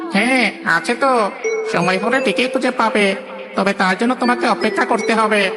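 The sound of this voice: Over loud background noise, a cartoonish character voice with fairly high pitch moves at a moderate pace.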